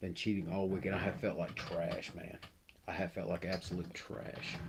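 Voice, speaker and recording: Soft-spoken and somewhat breathy, a man talks at a moderate pace in a very deep, low pitch with monotone, flat intonation. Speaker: miniature painting streamer. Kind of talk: casual chat.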